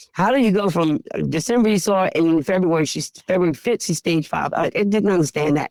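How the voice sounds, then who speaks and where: A woman talks very fast in a fairly low voice with vocal fry, the sound dry and close with no echo. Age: 60s. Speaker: pet food store owner. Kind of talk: interview. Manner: emotional, conversational.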